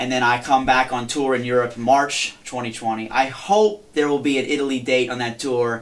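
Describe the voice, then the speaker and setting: With noticeable background noise, a man talks at a medium pitch with ordinary pitch variation. He hardly pauses at all. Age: young. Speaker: touring blues guitarist. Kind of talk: interview. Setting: studio. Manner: fast.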